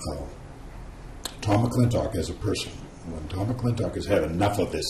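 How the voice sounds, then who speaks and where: A man speaks at a very deep, low pitch with ordinary pitch variation. Noticeable background noise and audible room echo surround him. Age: 70s. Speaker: talk show interviewer. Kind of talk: interview.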